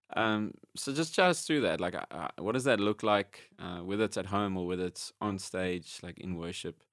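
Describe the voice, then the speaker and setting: A man with a normal speaking voice and fairly low pitch talks at a moderate pace with hardly any pauses and ordinary pitch variation, sounding dry and close with no echo on a very clean recording with a silent background. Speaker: podcast host and worship leader. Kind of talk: casual interview chat.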